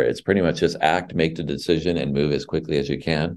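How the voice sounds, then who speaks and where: Very deep and low, a man's voice rushes along very fast with vocal fry. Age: 50s. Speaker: nonprofit founder and CEO. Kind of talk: interview.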